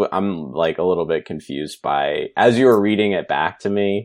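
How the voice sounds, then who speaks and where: A man with a normal speaking voice talks at a fairly low pitch and a moderate pace. His pitch varies in an ordinary way against a quiet background. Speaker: comedian and video maker. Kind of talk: casual chat.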